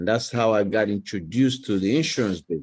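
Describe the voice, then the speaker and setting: This man has a dark, mellow tone and fairly low pitch. He talks at a fairly quick pace with ordinary pitch variation. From Nigeria. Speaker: financial advisor and insurance executive. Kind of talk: podcast interview. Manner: casual, conversational.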